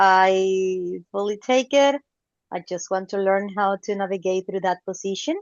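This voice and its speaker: A woman with a non-native accent speaks fairly slowly at a medium pitch, her pitch varying in an ordinary way. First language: not English. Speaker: club member. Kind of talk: self-introduction in meeting.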